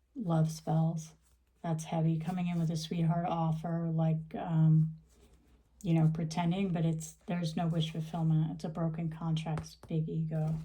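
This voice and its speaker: A woman with a very deep, low voice and a dark, mellow tone speaks at a fairly slow pace, somewhat breathy. Her intonation is monotone and flat, with audible room echo. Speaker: tarot reader. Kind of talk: tarot reading. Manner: soft-spoken; halting. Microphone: camera's built-in microphone.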